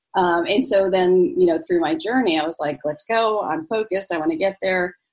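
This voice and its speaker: With an American accent, a woman talks in an unremarkable speaking voice of medium pitch and ordinary pitch variation. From Egypt, moved to US at five. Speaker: physician and life coach. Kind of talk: interview.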